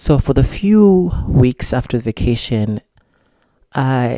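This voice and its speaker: In a Malawian accent, a man speaks at a very slow pace with medium pitch, lively intonation and a dark, mellow tone, in a dry, close sound with no echo. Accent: non-American, Malawian. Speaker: vlogger. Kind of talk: personal vlog monologue.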